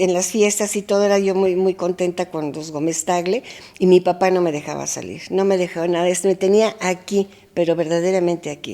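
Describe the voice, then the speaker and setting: A woman's medium-pitched voice with a dark, mellow tone, fairly even intonation, and a moderate pace. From Mexico. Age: 80s+. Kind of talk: interview answer.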